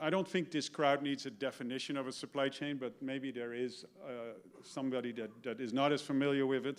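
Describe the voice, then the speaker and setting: This man has a Dutch accent and a medium pitch. He talks at a moderate pace with fairly even intonation. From Netherlands. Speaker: retired business executive. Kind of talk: talk to an audience. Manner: hesitant, with fillers and repetitions.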